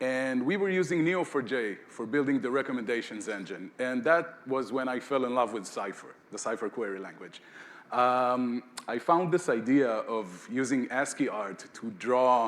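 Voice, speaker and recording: Lively intonation runs through speech delivered at a moderate pace. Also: man. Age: 40s. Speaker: conference speaker, software engineer. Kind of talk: conference talk. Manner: casual with filler words.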